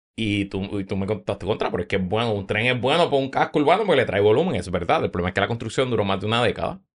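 At a very fast pace with hardly any pauses, a man speaks with a fairly low pitch and lively intonation. The background is quiet. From Puerto Rico, San Juan. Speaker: podcaster. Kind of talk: casual chat.

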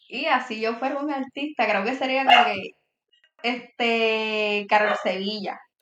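A woman with a Puerto Rican accent, fairly high in pitch, at a fairly slow pace with ordinary pitch variation. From Puerto Rico. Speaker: TikTok creator. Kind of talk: casual interview.

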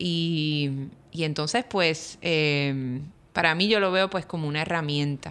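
A woman with a Puerto Rican accent, very deep and low in pitch, with ordinary pitch variation and a very slow pace, on a very clean recording with a silent background. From Puerto Rico, Río Piedras. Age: 40s. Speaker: architect and educator. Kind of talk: interview conversation. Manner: hesitant, many fillers.

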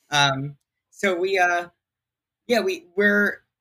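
With a bright, sharp tone and lively intonation, a man is heard in a dry, close recording with no echo. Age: 20s. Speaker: tech entrepreneur. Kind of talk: interview. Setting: remote recording via online tool.

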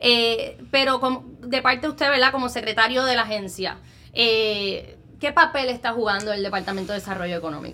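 A woman with a plain, everyday voice talks at a fairly quick pace, fairly high in pitch, with ordinary pitch variation. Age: young. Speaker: podcast host. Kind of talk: interview.

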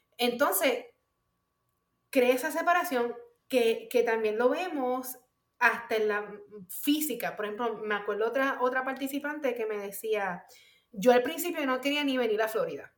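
Speech at a moderate pace with ordinary pitch variation and long, frequent pauses rings with audible room echo. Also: woman, high pitch for a woman. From Puerto Rico. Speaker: mental health professional. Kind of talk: interview. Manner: hesitant, many fillers.

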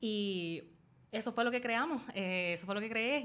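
A woman talks in a normal speaking voice, her medium pitch showing ordinary variation. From Puerto Rico. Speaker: YouTuber and dog rescuer. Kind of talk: casual interview chat. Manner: code-switching Spanish and English.

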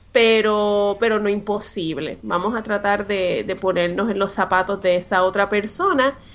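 An ordinary speaking voice from a woman, fairly high in pitch and fairly slow in pace, on a very clean recording with a silent background. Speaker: podcast co-host, business coach. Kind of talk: casual talk show chat and advice segments.

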